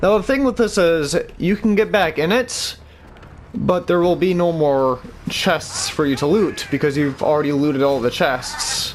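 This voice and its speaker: A man talks at a fairly high pitch. His loudness stays very even. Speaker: gaming video creator. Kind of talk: gameplay tutorial. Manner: slow; casual, halting.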